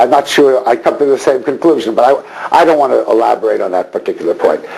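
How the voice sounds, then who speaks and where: Very fast speech from a man, noticeable background noise throughout. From Montreal, Canada. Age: 60s. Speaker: rabbi. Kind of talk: lecture. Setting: synagogue hall with audience.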